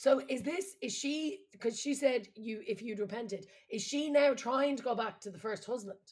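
Barely pausing, a woman with a slight Irish accent speaks at a high pitch with big swings in loudness. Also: lively intonation, moderate pace. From Ireland. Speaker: comedian and podcast host. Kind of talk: casual comedic chat.

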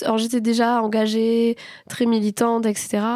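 Very slowly, a woman speaks in a fairly high pitch. Her tone is dark and mellow, and the sound is dry and close with no echo. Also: very clean recording, silent background. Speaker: podcast host.

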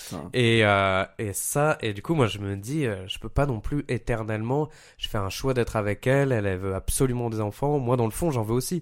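A man with a plain, everyday voice and a fairly low pitch speaks at a moderate pace with ordinary pitch variation. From Paris. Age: 30s. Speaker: podcast guest. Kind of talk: casual chat.

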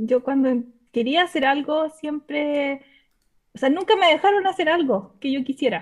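Lively intonation in a Chilean accent. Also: woman. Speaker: caller seeking advice. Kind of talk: personal conversation. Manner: halting.

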